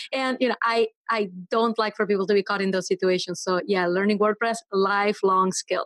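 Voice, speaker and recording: In a Venezuelan accent, a woman speaks at a medium pitch with fairly even intonation and very even loudness, the sound dry and close with no echo. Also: fairly quick pace. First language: Spanish. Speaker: web developer and entrepreneur. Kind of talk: podcast interview.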